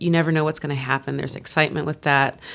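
Her pitch is very deep and low. It varies in an ordinary way as this woman talks. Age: 30s. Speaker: opera singer. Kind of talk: casual chat.

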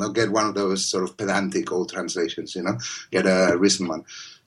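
Speaking at a fairly quick pace, a man talks with a Spanish accent. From Spain. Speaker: poet. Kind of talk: casual interview conversation.

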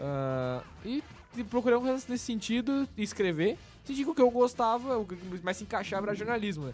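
A high-pitched man at a moderate pace, his pitch swinging very widely, with music in the background. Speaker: podcast host. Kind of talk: casual chat.

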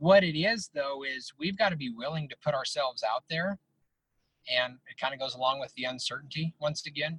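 This man has an unremarkable speaking voice, with an American accent and a fairly high pitch. He talks at a fairly quick pace with ordinary pitch variation, in a dry, close sound with no echo. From Northeast Colorado. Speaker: mental skills coach. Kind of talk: interview.

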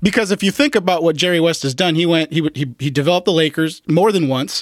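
At a very fast pace, a man with a fairly high pitch and ordinary pitch variation speaks in a dry, close sound with no echo. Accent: American. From Los Angeles. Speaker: sports podcast host. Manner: animated, jokey, does impressions.

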